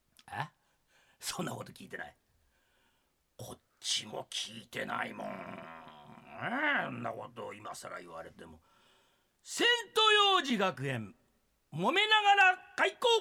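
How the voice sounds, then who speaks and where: A man talks at a fairly slow pace with long, frequent pauses, his loudness swinging widely. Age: 60s. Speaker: radio announcer. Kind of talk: casual radio banter.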